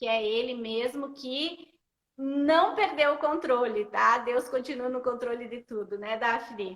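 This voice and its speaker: Very slowly, a woman talks at a high pitch with ordinary pitch variation. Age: 40s. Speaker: bible storytelling live host. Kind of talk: casual live-stream chat. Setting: Instagram live.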